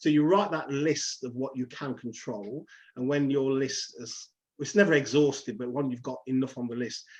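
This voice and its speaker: A man speaks at a moderate pace in a medium pitch. His pitch varies in an ordinary way over a quiet background. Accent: Leicester. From England, Leicester. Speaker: counsellor. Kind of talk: interview.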